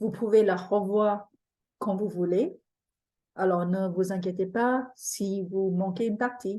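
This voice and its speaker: Speaking very slowly with long, frequent pauses, a woman with a non-native accent uses a medium pitch, fairly even intonation and a dark, mellow tone. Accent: foreign accent in French. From Singapore. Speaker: feng shui teacher. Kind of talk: webinar presentation. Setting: online webinar.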